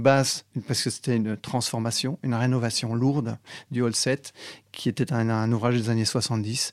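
Recorded very cleanly against a silent background with a dry, close sound and no echo, a man speaks fairly slowly at a medium pitch with monotone, flat intonation. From Belgium. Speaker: architect and BIM manager. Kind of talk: interview.

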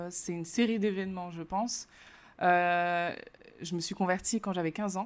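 A woman at a fairly slow pace, fairly even intonation, on a very clean recording with a silent background. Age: 30s. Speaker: entrepreneur and business coach. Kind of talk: interview. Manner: hesitant, with frequent fillers.

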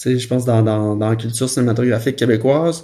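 A man talks with a Quebec accent and a dark, mellow tone. His intonation stays fairly even. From Quebec, Saguenay-Lac-Saint-Jean (Roberval). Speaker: film director. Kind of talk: interview storytelling. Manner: casual, many hesitations.

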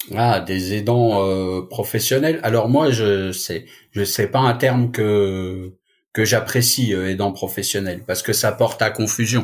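Recorded very cleanly against a silent background, a man speaks at a very slow pace. His pitch is fairly low and his intonation fairly even. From Paris suburbs, France. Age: 50s. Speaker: caregiver association founder. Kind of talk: podcast interview.

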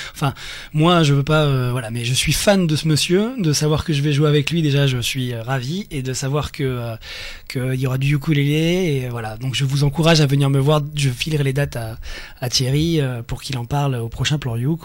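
Using a plain, everyday voice, a man speaks at a moderate pace with a fairly high pitch and ordinary pitch variation. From Nice, France. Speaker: ukulele player and blogger. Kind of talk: casual chat. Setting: studio.

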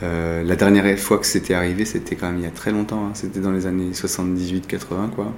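The intonation stays fairly even. There are hardly any pauses. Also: man, very deep, low pitch for a man, moderate pace. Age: 40s. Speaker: art dealer and collector. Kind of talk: interview. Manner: halting.

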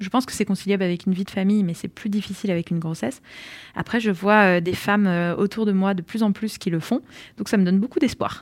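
Over a silent background in a very clean recording, a woman talks at a very fast pace with ordinary pitch variation. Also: medium pitch for a woman. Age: 30s. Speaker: entrepreneur. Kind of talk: interview. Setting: on location at her workplace. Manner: halting, many hesitations.

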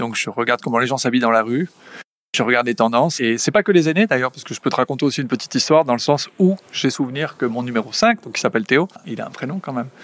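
Very fast and with lively intonation, a man talks at a medium pitch, the sound dry and close with no echo. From French Basque Country, Saint-Jean-de-Luz. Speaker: business executive. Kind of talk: interview. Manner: energetic.

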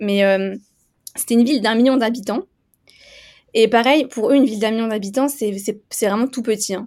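A woman with a fairly high pitch, ordinary pitch variation, and a fairly quick pace, on a very clean recording with a silent background. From eastern France (Vosges). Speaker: race walker athlete. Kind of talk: interview.

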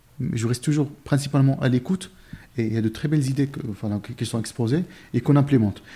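Speaking at a very fast pace, a man has a dark, mellow, somewhat breathy tone with ordinary pitch variation. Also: medium pitch for a man. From Morocco, village near Marrakech. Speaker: recruitment firm founder. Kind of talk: interview conversation. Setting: company office.

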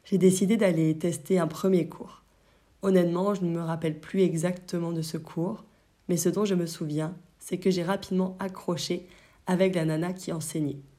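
A dark, mellow tone in a monotone, flat delivery. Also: woman. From France, Brittany. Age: 20s. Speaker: yoga teacher and podcast host. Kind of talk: solo podcast monologue.

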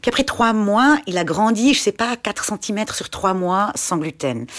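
A woman speaks with vocal fry. The recording is very clean, with a silent background. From German-speaking Switzerland, Schaffhausen. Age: 40s. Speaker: parent of a child with a muscle disease, former doctor, shop owner. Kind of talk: casual interview.

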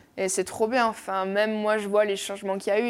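On a very clean recording with a silent background, a woman speaks at medium pitch in a monotone, flat delivery. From French Basque coast (Bayonne). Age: young. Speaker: professional surfer. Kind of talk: casual interview.

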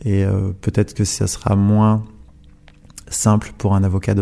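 This man talks in a flat, monotone way. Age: 20s. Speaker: lawyer. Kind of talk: interview. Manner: halting.

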